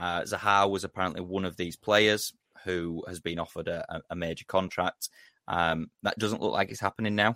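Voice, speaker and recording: A man's very deep, low voice with a bright, sharp tone, fairly even intonation and a fairly quick pace, recorded dry and close with no echo on a very clean recording with a silent background. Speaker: podcast host. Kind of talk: casual banter podcast.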